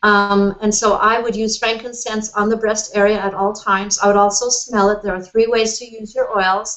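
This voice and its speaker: A woman's medium-pitched voice at a moderate pace, with monotone, flat intonation. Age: 60s. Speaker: author and cancer survivor. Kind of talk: interview. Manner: halting.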